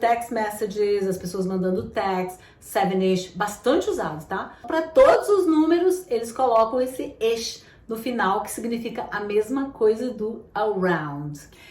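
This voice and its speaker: In a room with audible echo and noticeable background noise, a woman speaks at a fairly slow pace and a fairly high pitch, her voice making very wide pitch swings. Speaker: English teacher. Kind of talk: tutorial.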